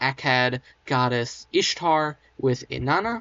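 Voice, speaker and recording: The voice belongs to a man. It sits fairly high for a male speaker. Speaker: history educator. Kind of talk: casual educational talk. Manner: subdued, less enthusiastic than usual.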